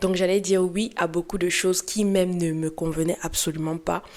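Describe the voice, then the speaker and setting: Noticeable background noise sits under a woman with a Cameroonian accent who speaks with fairly even intonation. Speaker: lifestyle and beauty youtuber. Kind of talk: personal storytelling vlog. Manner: casual, hesitant with fillers.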